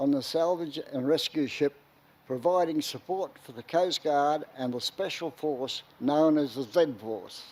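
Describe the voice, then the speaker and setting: A man's fairly high voice with a dark, mellow tone and an Australian accent. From far north Queensland, Australia. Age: 90s. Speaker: war veteran. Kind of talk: commemorative speech.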